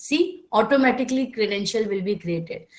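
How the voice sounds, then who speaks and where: A woman with an Indian accent and lively intonation. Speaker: software trainer. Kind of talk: online class lecture. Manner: slow-paced.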